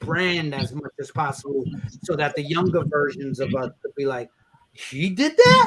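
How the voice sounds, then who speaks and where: In a New York accent, a man speaks at a fairly high pitch and a fairly slow pace. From New York, Brooklyn. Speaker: rapper and event host. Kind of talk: casual chat. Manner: animated; halting.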